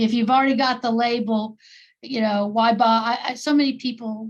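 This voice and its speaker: A woman's somewhat breathy, fairly high voice with an American accent, flat and monotone at a moderate pace, against a quiet background. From US South, New Orleans. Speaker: therapist, workshop participant. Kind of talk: online group discussion. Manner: halting.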